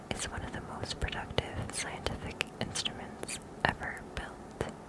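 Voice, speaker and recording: A woman whispers at a fairly slow pace. Noticeable background noise runs behind her. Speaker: ASMR creator. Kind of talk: ASMR fact reading. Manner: whispered.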